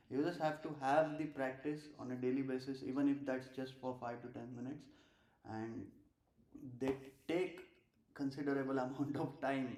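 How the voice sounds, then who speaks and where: A man's fairly high voice in an Indian accent, with audible room echo. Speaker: streamer and amateur musician. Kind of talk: casual live stream chat. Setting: live stream at home. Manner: halting, many filler uhs.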